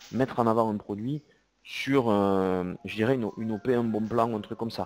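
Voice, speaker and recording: A man in a southern French accent, medium in pitch, fairly quick, with fairly even intonation. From southern France. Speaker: CEO and e-commerce software presenter. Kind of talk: webinar presentation with Q&A. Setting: online webinar. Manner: hesitant, with repetitions.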